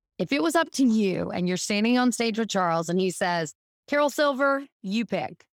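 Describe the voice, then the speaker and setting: A woman with a Southern US accent at a moderate pace, lively intonation, dry and close sound with no echo, very clean recording over a silent background. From US South. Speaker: marketing executive, former music industry worker. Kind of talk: casual chat.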